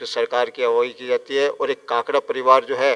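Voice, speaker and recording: Over noticeable background noise, a man's voice comes across dry and close with no echo. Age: 60s. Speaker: temple priest. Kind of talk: interview. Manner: halting with self-corrections.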